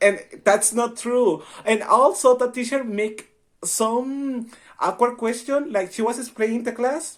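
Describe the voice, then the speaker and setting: In a Spanish accent, a man speaks at a moderate pace with a high pitch. The recording is very clean, with a silent background. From Mexico, Baja California. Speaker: university student. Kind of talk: casual chat.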